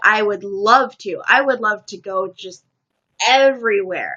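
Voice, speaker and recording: With an American accent and an ordinary speaking voice, a woman talks at a fairly slow pace and a fairly high pitch. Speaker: live streamer. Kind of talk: casual chat.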